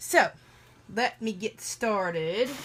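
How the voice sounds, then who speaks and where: A woman speaks with a Southern US accent in a bright, sharp tone. Her pitch varies in an ordinary way. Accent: Southern twang. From US South. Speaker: Bible art journaling creator. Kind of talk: casual livestream craft chat. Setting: live video stream.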